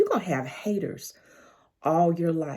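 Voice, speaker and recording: A woman speaks with a Southern accent at a moderate pace. Her tone is dark and mellow, somewhat breathy. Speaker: life coach. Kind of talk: casual livestream monologue. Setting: social media live video.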